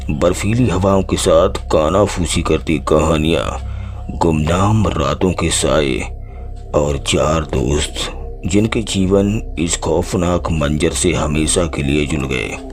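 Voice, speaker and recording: A man puts on a character voice with a very deep, low pitch. He talks at a fairly slow pace against clear background noise. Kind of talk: horror narration. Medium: read story. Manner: measured, dramatic.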